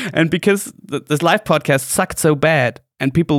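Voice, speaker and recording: A man speaks with a German accent at a fairly high pitch and a moderate pace. The sound is dry and close, with no echo. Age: 20s. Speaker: podcast co-host. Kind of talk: casual chat. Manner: halting.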